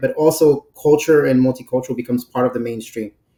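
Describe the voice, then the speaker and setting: This man has a New York accent, a medium pitch, a dark and mellow tone, and flat, monotone intonation at a fairly quick pace. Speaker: brand director. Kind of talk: podcast interview.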